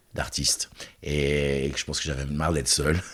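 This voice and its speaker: A man talks with a very deep, low pitch at a moderate pace. The recording is very clean, with a silent background. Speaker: choreographer and festival director. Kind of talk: interview conversation. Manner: halting, many repetitions.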